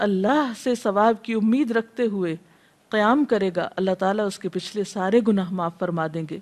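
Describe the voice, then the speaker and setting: A woman with an ordinary speaking voice, pitched fairly high, uses ordinary pitch variation. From Pakistan. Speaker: Islamic scholar and preacher. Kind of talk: religious lecture.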